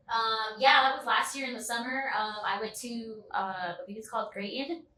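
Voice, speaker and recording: Noticeable background noise runs behind a woman with an American accent and a fairly high pitch. She keeps a moderate pace, with ordinary pitch variation and big swings in loudness. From Reno, Nevada. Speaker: dancer. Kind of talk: casual interview.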